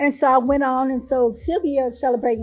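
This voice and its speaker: A woman speaks in a high pitch while music plays in the background. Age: 60s. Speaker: breast cancer survivor. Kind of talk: testimony.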